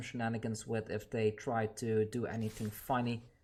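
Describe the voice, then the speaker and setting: A medium-pitched man with a non-native accent talks at a moderate pace on a very clean recording with a silent background. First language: not English. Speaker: gaming YouTuber. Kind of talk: gameplay commentary; channel outro. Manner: casual, conversational.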